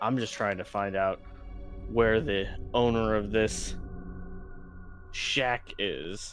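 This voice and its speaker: Over clear background music and some hissing, a put-on character voice talks at a very slow pace with long, frequent pauses. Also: man, medium pitch for a man. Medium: actual play. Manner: angry, blunt.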